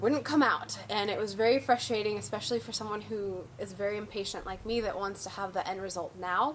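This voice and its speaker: Over noticeable background noise, a woman speaks at a medium pitch with fairly even intonation and hardly any pauses. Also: fairly quick pace. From Venezuela, Caracas (to age 14), then California. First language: Spanish. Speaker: fine art photographer. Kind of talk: personal testimony.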